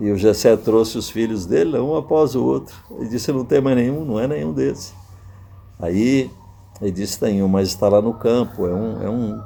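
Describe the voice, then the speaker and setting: Dark and mellow in tone, a man's fairly low voice moves at a moderate pace. His intonation is lively. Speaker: pastor and preacher, retired air force colonel. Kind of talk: sermon / Bible teaching to camera.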